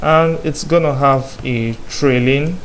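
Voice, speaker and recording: A man talks at a fairly slow pace with fairly high pitch. There is audible room echo. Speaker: programming tutor. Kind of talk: coding tutorial. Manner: filler-heavy, repeated so and um.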